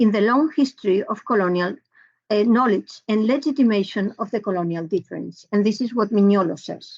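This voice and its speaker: Somewhat breathy and fairly high, a woman's voice moves with lively intonation. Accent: Spanish. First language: Spanish. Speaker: professor. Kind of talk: lecture. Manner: halting.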